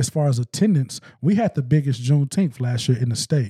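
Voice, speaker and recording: A man with an American accent, fairly high pitch, lively intonation and a dark, mellow, somewhat breathy tone, on a very clean recording with a silent background and a dry, close sound with no echo. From US South, eastern Arkansas (West Memphis). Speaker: music promoter and nonprofit executive. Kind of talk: casual interview. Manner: halting, many repetitions and fillers.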